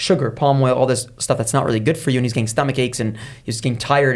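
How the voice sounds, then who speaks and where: Somewhat breathy speech at a very fast pace. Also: man. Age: 30s. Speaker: entrepreneur. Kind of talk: interview.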